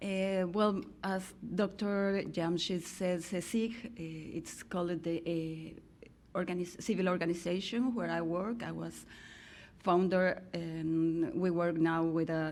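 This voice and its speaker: In a room with audible echo, a woman with a Mexican accent and a fairly low pitch speaks very slowly with fairly even intonation. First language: Spanish. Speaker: sociologist and NGO director. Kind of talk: keynote talk. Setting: podium with audience. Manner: halting.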